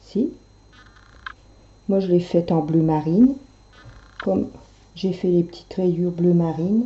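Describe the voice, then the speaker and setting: Fairly low in pitch, a woman speaks at a fairly slow pace. She leaves long, frequent pauses. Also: ordinary pitch variation. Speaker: knitting tutorial maker. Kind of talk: tutorial.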